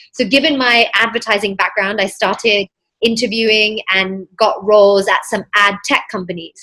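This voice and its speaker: In a British accent, a woman speaks at a moderate pace with a bright, sharp tone, fairly high pitch, and fairly even intonation. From England, then US from age 11. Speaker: mindset coach. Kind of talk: podcast interview.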